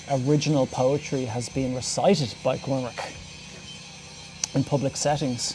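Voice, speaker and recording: A man with an Irish accent talks at a fairly slow pace and a fairly high pitch, his intonation fairly even, with music in the background. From Ireland. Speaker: podcast host. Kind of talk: casual talk to camera. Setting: outdoors.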